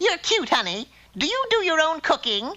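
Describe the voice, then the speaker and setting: In a cartoonish character voice, a squeaky, female-sounding speaker talks at a moderate pace at an extremely high pitch with very wide pitch swings. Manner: brassy, wheedling, calls everyone honey.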